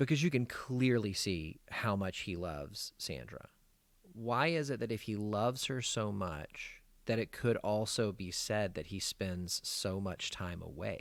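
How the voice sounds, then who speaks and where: Speaking fairly slowly with an American accent, a man uses lively intonation. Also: very clean recording, silent background. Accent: Southern US, comes out at times. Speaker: podcast host, therapist. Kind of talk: casual film discussion.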